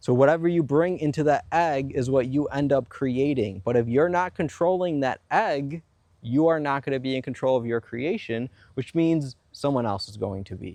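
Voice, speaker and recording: A dark, mellow tone comes through at a moderate pace with ordinary pitch variation over a quiet background. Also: man, fairly high pitch for a man. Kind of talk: spiritual self-help monologue on manifestation and ego. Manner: earnest, explanatory, persuasive.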